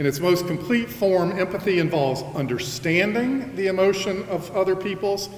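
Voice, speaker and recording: A loud man with a high pitch speaks at a moderate pace, with audible room echo and noticeable background noise. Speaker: college president. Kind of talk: convocation address.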